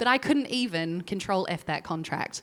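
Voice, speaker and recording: The speaker has a New Zealand accent and lively intonation. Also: woman. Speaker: legal tech executive, former lawyer. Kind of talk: panel discussion.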